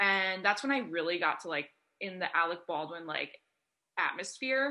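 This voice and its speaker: Her voice has a bright, sharp tone at a medium pitch. This woman speaks with lively intonation. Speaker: comedian and podcaster. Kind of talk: casual interview chat.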